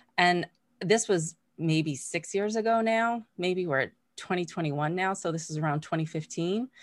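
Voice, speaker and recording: A woman with an American accent talks at a moderate pace in a plain, everyday voice, her pitch fairly low. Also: ordinary pitch variation. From Massachusetts, US. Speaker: mindfulness teacher and coach. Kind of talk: interview. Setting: video call.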